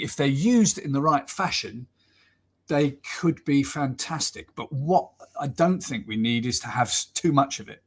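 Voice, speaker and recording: A somewhat breathy man's voice in a southern English accent, fairly high in pitch, at a moderate pace with big swings in loudness. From southern England, Southampton. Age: 60s. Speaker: football commentator. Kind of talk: casual interview chat. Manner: hesitant, many fillers and repeats.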